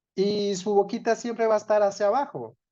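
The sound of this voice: The speaker moves at a moderate pace with a dark, mellow tone.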